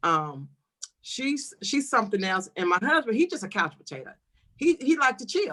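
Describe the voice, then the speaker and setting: At a moderate pace, a woman with a fairly high pitch and a bright, sharp tone uses very wide pitch swings, big swings in loudness and vocal fry. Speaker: talk show co-host. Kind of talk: casual chat.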